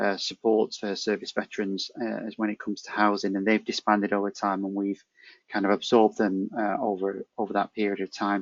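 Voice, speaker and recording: A man with a northern English accent, fairly low-pitched and flat, monotone, at a fairly quick pace. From northern England. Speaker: housing charity manager, navy veteran. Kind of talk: webinar presentation. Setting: video call. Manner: hesitant, many fillers.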